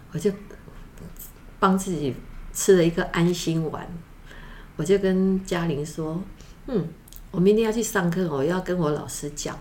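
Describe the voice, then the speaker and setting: Pausing long and often, a woman speaks with ordinary pitch variation amid audible room echo. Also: fairly low pitch for a woman, fairly slow pace, big swings in loudness. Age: 70s. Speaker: podcast guest, drum student. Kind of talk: casual chat.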